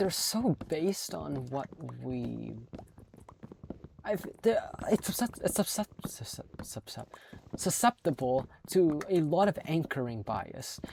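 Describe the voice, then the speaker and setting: Long, frequent pauses break up this woman's speech. She talks at a very slow pace. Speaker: gaming video creator. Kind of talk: casual rant while gaming. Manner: halting, stuttering; rambling, repetitive.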